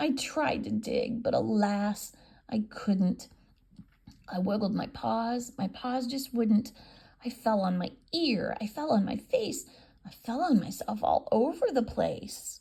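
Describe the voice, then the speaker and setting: A raspy, female-sounding put-on character voice with a fairly high pitch. She speaks at a fairly slow pace. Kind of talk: children's picture book read-aloud. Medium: read story. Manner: sing-song rhyming delivery.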